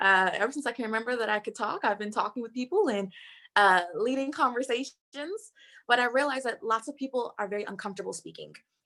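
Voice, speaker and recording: The voice is bright and sharp, with an animated tone and lively intonation at a fairly quick pace. The recording is very clean, with a silent background. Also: woman. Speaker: entrepreneur and speaking coach. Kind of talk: conference talk. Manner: fast.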